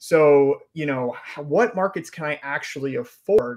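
At a moderate pace, a man with an American accent talks at a fairly high pitch. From Georgia, US South. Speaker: real estate investor and software founder. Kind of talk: interview.

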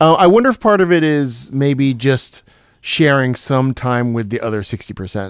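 Speaking at a moderate pace, a man with an unremarkable speaking voice and medium pitch uses lively intonation. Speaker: magician and podcast host. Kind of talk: casual chat.

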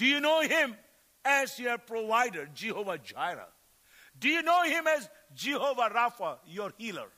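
Raised and projected, a man's extremely high-pitched voice has a bright, sharp tone and very wide pitch swings at a moderate pace. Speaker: visiting preacher and missionary. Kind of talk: sermon. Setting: church service.

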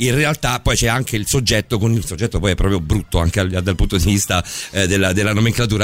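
Over noticeable background noise, a man speaks at a very fast pace in an animated tone, at a fairly low pitch with ordinary pitch variation. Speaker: radio host. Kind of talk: late-night radio chat. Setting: studio. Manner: animated, joking.

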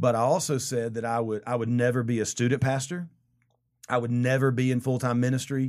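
A man in a Southern US accent talks at a fairly quick pace with a medium pitch and monotone, flat intonation on a very clean recording with a silent background. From US South, rural South Carolina. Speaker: church pastor. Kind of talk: interview. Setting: studio.

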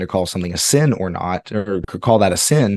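A man is speaking. His pitch sits fairly low. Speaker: podcast co-host. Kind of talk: casual chat.

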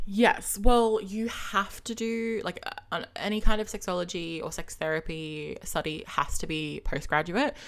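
A woman with an Australian accent speaks at a medium pitch and a fairly slow pace. Her intonation is lively, and her loudness swings widely. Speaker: podcaster and gender studies student. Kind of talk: casual interview chat. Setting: online call.

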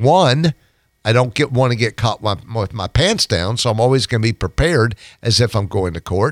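A man speaks with very wide pitch swings. The recording is very clean, dry and close with no echo, and the background is silent. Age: 60s. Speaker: personal injury lawyer. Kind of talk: radio interview. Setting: radio studio. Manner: hesitant fillers.

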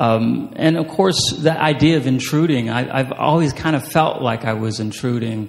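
Over noticeable background noise, a man speaks at medium pitch and a moderate pace with ordinary pitch variation and hardly any pauses. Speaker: writer and creative writing professor. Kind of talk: author talk and reading aloud. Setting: stage with audience. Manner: halting.

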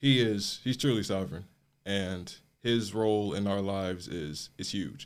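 A man with an American accent speaks in an ordinary speaking voice at a fairly low pitch. His pace is fairly slow with ordinary pitch variation, on a very clean recording with a silent background. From US Midwest, Chicago south suburbs. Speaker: college student. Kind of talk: interview.

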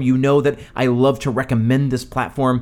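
In a very clean recording with a silent background, a man speaks at a moderate pace and medium pitch in a normal speaking voice. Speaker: podcast host. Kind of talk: scripted-style podcast promo and tips.

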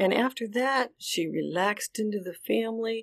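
A woman uses a normal speaking voice with lively intonation at a moderate pace, recorded very cleanly against a silent background. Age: 60s. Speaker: author and foster mother. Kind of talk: personal testimony.

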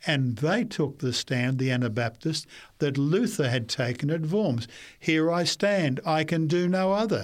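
A man with an Australian accent, fairly high-pitched, at a fairly slow pace, with lively intonation and very even loudness, on a very clean recording with a silent background. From Queensland, Australia (Brisbane). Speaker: pastor. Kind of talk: interview.

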